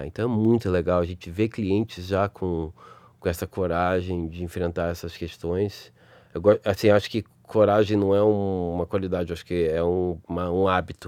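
A man's very deep, low voice in a Rio de Janeiro accent, dark and mellow in tone, with fairly even intonation at a moderate pace, over a quiet background. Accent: carioca. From Rio de Janeiro, Brazil. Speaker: advertising creative director. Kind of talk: interview.

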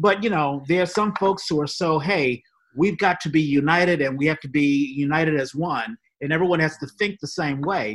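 A man with a plain, everyday voice, a fairly high pitch, ordinary pitch variation, a moderate pace and an American accent. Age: 50s. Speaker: podcast host. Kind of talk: casual chat.

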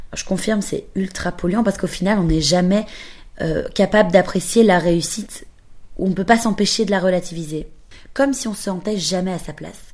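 A woman of medium pitch has an unremarkable speaking voice and ordinary pitch variation. She talks at a fairly quick pace with big swings in loudness. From Belgium. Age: 20s. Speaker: podcaster. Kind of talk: scripted narration.

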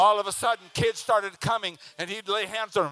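In a dry, close sound with no echo, a man projects a raised voice at a fairly quick pace. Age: 60s. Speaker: preacher. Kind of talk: sermon. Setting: church with congregation. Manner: animated.

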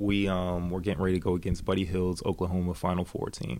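Speaking at a moderate pace, a man delivers his words in a monotone with a very deep, low pitch. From Jacksonville, Florida (US South). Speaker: professional basketball player. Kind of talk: interview.

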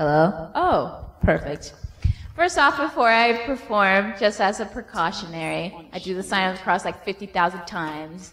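A woman with an unremarkable speaking voice talks fairly slowly at a medium pitch, her intonation lively. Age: 20s. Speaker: performing arts student. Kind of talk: casual chat.

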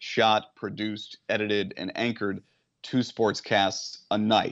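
A man speaks at a moderate pace in an unremarkable speaking voice, his pitch medium. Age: 30s. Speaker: TV reporter and author. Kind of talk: interview.

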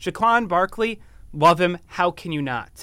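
A raised, projected voice with an American accent, lively intonation and a bright, sharp tone comes through on a very clean recording with a silent background. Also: man. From Wisconsin. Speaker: college podcast co-host. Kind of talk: casual sports chat. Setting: studio. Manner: animated.

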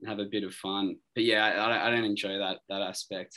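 Over a quiet background, a man with an Australian accent talks at a moderate pace, his fairly low voice bright and sharp in tone. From Australia, Sydney. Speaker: rock band vocalist and guitarist. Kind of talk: interview, casual chat.

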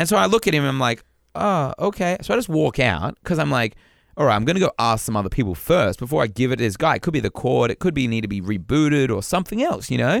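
In a very clean recording with a silent background and a dry, close sound with no echo, a man talks very fast with vocal fry and very wide pitch swings. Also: medium pitch for a man. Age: 30s. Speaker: podcast co-host. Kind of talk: casual chat.

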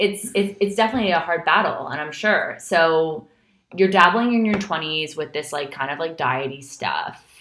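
A woman's plain, everyday voice with an American accent, at a moderate pace. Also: fairly low pitch for a woman, lively intonation. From New York. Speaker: podcast host, yoga and wellness expert. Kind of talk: casual interview chat.

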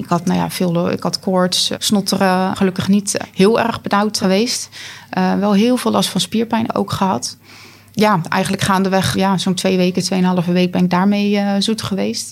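Fairly even intonation in a plain, everyday voice. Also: woman, medium pitch for a woman, moderate pace. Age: 30s. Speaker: long covid patient. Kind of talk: interview.

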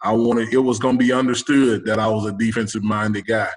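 A man with an American accent speaks in an unremarkable speaking voice at a medium pitch. His pace is fairly quick and his intonation fairly even. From Texas, Houston. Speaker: college football head coach. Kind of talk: casual interview.

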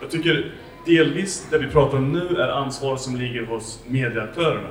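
Noticeable background noise and audible room echo surround this recording. A man with an English accent speaks at a moderate pace. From USA. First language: English (speaking Swedish). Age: 40s. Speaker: professor and panel moderator. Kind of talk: panel debate. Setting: library event with audience.

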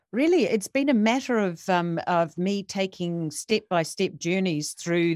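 A woman talks in a normal speaking voice at a fairly slow pace, with ordinary pitch variation.

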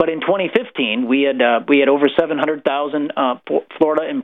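A man with a Midwestern American accent talks at a moderate pace. His pitch is fairly high and his intonation lively. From rural Illinois. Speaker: government transparency advocate. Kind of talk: radio interview. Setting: live radio broadcast.

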